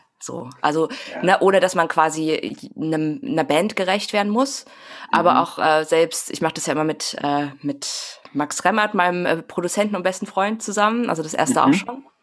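A woman talks at a moderate pace with lively intonation. Noticeable background noise sits behind her. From Saxony, eastern Germany (Grimma). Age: 30s. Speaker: singer-songwriter. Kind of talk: casual chat. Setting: home office, remote.

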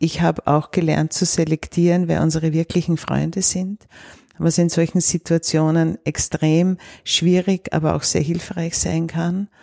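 Her dark, mellow tone and fairly low pitch stay flat and monotone as a woman speaks at a fairly slow pace, in a dry, close sound with no echo. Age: 70s. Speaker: cancer patient's relative. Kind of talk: interview.

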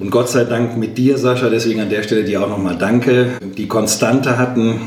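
A man talks at a moderate pace, his voice echoing in the room while noticeable background noise carries on. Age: 50s. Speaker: trade union leader. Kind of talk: interview.

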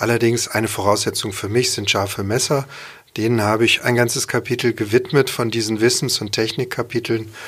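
Monotone and flat in intonation, a man speaks at a medium pitch and a fairly quick pace. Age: 50s. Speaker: chef and cookbook author. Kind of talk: casual interview. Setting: studio.

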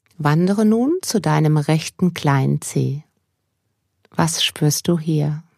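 A woman's very deep, low voice, very slow with long, frequent pauses, ordinary pitch variation, very even loudness and a gentle, calm tone, in a very clean recording with a silent background and a dry, close sound with no echo. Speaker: mindfulness coach. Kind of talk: guided meditation. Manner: slow, calm and soothing, with long pauses; soft-spoken, gentle, unhurried.

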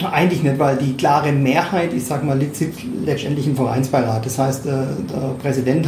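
Noticeable background noise runs through the clip. The delivery keeps a moderate pace. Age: 50s. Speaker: club advisory board member, longtime fan. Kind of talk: interview. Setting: club office.

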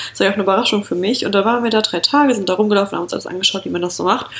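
A woman's fairly high voice rushes along very fast, its pitch varying in an ordinary way, with noticeable noise behind her. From rural Germany. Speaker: podcast co-host. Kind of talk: casual chat.

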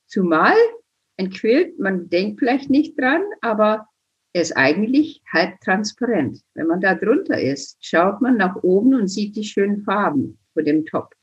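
Very slow, somewhat breathy speech with very wide pitch swings. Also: woman, medium pitch for a woman. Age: 70s. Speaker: quilting teacher and author. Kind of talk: interview.

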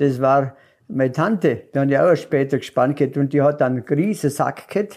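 A man with a strong Allgäu accent speaks at a moderate pace and fairly high pitch, with ordinary pitch variation. His loudness stays very even on a very clean recording with a silent background. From Allgäu, Bavaria. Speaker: local elder sharing childhood memories. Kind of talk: casual reminiscing chat. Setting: cozy living room by a tiled stove.

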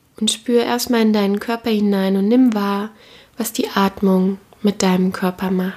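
At a fairly slow pace, a woman with a medium pitch speaks in a normal speaking voice with fairly even intonation. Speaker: podcast host and meditation guide. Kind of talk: guided meditation. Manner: slow, calm, soothing; gentle, warm, with long pauses.

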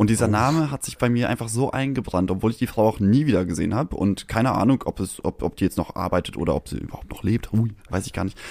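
A man at a medium pitch, very fast with hardly any pauses, with ordinary pitch variation. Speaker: podcast co-host. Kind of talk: casual chat. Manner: prim, proper-sounding.

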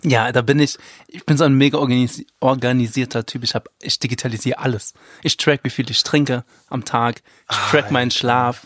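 Speaking at a fairly quick pace, a man with a medium pitch and fairly even intonation has a plain, everyday voice, recorded with a dry, close sound with no echo. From Rhineland-Palatinate, Zweibrücken near the Saarland border. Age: 20s. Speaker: tabloid editor. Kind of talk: casual chat.

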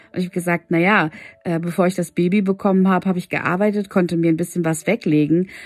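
A woman with a fairly low voice speaks at a very fast pace in a flat monotone, in a very clean recording with a silent background. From Hannover, northern Germany. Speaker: podcast host, women's coach. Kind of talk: personal monologue, storytelling. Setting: home, at night. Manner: hesitant, many filler words.

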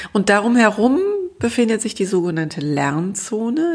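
A woman with a calm tone, at a fairly slow pace. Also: very clean recording, silent background. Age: 50s. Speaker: grief counselor and podcast host. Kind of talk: solo podcast monologue. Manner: light, easygoing.

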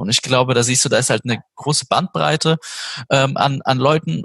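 The man has a normal speaking voice at a fairly high pitch and a moderate pace. The sound is dry and close, with no echo. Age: 30s. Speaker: games company project manager. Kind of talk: interview.

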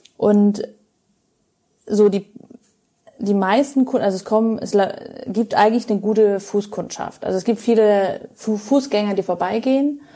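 A woman talks at a moderate pace with fairly even intonation. Her pitch is fairly high, and she leaves long, frequent pauses. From Germany, Munich (Bavaria). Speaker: pastry chef and chocolatier. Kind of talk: casual interview.

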